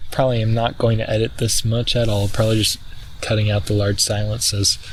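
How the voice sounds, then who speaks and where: Against noticeable background noise, a man talks at a fairly low pitch in a flat, monotone way. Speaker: vlogger. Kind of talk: casual monologue. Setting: outdoors. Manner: halting; talks weirdly.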